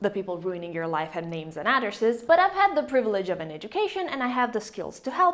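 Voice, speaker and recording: A woman with an Italian accent talks very fast in an animated tone, her pitch swinging very widely. Noticeable background noise runs underneath. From Italy. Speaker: YouTuber, physics historian. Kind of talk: channel introduction vlog. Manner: casual, animated.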